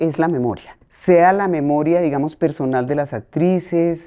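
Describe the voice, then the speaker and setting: A woman with a dark, mellow tone speaks at a fairly slow pace against a quiet background. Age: 60s. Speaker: playwright and theatre director. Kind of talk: podcast interview.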